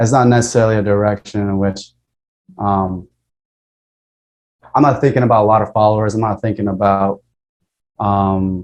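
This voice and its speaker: With a fairly low pitch and monotone, flat intonation, a man talks with long, frequent pauses. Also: moderate pace. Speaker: podcast host. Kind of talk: casual chat. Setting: video call. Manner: articulate, well-structured.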